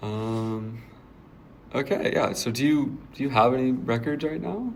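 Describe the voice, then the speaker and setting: Here a man with an ordinary speaking voice talks at medium pitch with ordinary pitch variation. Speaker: student staff writer and podcast guest host. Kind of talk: podcast interviewer.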